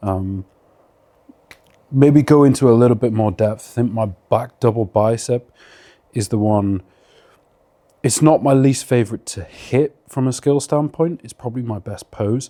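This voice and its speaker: Speaking with a British accent, a man has a medium pitch and a dark, mellow tone. He keeps a moderate pace with long, frequent pauses and big swings in loudness. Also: ordinary pitch variation. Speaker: bodybuilder. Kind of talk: casual Q&A monologue. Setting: at home.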